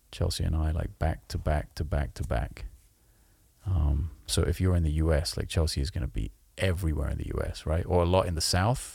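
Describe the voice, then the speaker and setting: In a very clean recording with a silent background, a man speaks at a fairly quick pace in a very deep, low pitch with a dark, mellow tone, vocal fry and ordinary pitch variation. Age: 40s. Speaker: musician and podcast co-host. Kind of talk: casual chat. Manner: animated.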